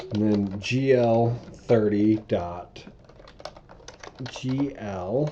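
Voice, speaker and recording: At a very slow pace with long, frequent pauses, a man speaks in a fairly low pitch over noticeable background noise. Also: ordinary pitch variation. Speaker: programming tutorial creator. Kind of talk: coding tutorial.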